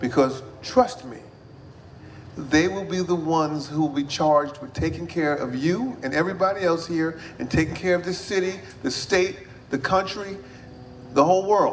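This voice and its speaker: Through audible room echo, a man speaks at a high pitch with ordinary pitch variation and long, frequent pauses. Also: moderate pace. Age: 60s. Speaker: mayor. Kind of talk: public speech. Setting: event with audience.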